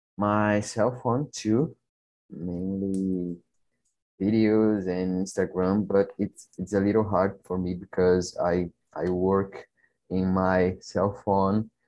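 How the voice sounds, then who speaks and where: A man with a Brazilian accent speaks at a very slow pace in a fairly low pitch, with a dark, mellow tone and fairly even intonation. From Brazil, Brasília. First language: Portuguese. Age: 20s. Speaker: personal trainer. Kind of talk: casual conversation practice. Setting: video call.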